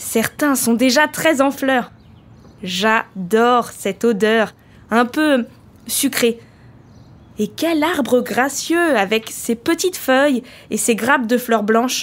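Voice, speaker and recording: A woman's high voice at a very slow pace, with very even loudness and long, frequent pauses. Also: ordinary pitch variation. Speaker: volunteer letter reader. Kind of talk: reading a letter aloud.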